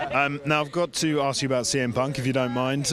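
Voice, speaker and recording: Very fast speech runs against noticeable background noise. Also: man. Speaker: wrestling interviewer. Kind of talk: interview. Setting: fan event. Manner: halting.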